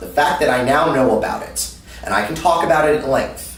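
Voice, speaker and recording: Over noticeable background noise and audible room echo, a man speaks in an animated tone at a moderate pace. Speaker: anime panelist. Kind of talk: interview. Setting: convention. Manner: loud.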